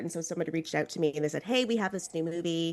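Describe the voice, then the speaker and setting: A woman with a fairly low pitch and ordinary pitch variation talks at a very fast pace. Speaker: horror film critic and podcaster. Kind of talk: casual podcast conversation.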